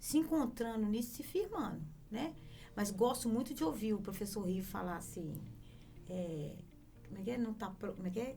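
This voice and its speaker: Over background music and audible room echo, a woman with a fairly high pitch talks at a moderate pace with lively intonation and long, frequent pauses. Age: 60s. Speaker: lawyer. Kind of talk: casual chat.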